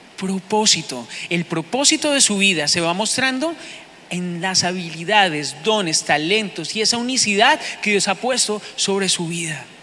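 An animated tone comes through at a fairly slow pace, with noticeable background noise. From Bogotá, Colombia. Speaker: pastor. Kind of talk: sermon. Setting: church.

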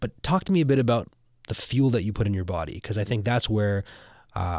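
A normal speaking voice from a man, fairly low in pitch and fairly quick in pace, on a very clean recording with a silent background. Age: 30s. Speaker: podcast host. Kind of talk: casual chat. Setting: studio.

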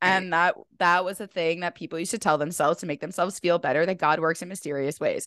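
A woman with a fairly low pitch talks at a very fast pace in an animated tone. The sound is dry and close with no echo, over a quiet background. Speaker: podcast host and health coach. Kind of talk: casual chat.

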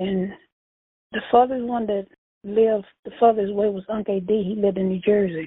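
With a Louisiana accent, a woman speaks at a moderate pace and medium pitch, her intonation fairly even. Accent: Southern US (Louisiana). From US South, Louisiana. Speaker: churchgoer and family elder. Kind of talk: casual interview.

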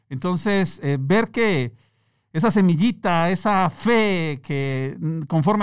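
Lively intonation marks a man's speech on a very clean recording with a silent background. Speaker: entrepreneur. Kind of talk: interview. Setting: studio. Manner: calm.

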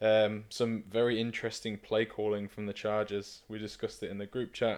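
A man speaks with a British accent at a fairly low pitch. His delivery is monotone and flat, at a moderate pace. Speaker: podcast co-host. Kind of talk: casual chat.

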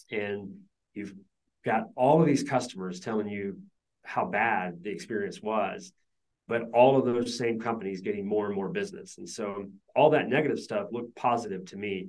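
A man with an American accent speaks in an ordinary speaking voice at a moderate pace, his medium pitch moving with ordinary variation while his loudness swings widely. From US South (Georgia). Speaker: business founder. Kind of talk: interview.

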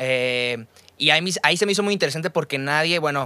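A man talks at a very fast pace with a Mexican accent and a bright, sharp tone. His pitch variation is ordinary. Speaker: podcast host. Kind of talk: casual chat. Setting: studio.

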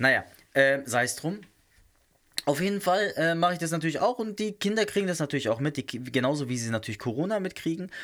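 On a very clean recording with a silent background, a man talks in an animated tone with very wide pitch swings. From southern Germany. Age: 30s. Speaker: podcast host. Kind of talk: casual solo monologue.

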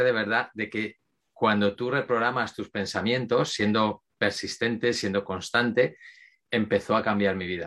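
A man talks with a bright, sharp tone and fairly even intonation against a quiet background. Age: 50s. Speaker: mental focus coach. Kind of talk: interview.

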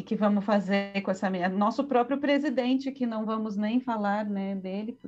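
A woman with an unremarkable speaking voice talks at a moderate pace in a fairly high pitch, with ordinary pitch variation and hardly any pauses. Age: 40s. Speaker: visual artist and art history professor. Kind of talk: casual interview with didactic explanations.

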